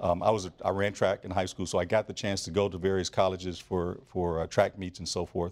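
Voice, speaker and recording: With an American accent, a man talks at a fairly quick pace in a very deep, low pitch, his intonation monotone and flat and hardly any pauses. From Flint, Michigan. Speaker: business school dean. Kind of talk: interview. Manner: halting with fillers.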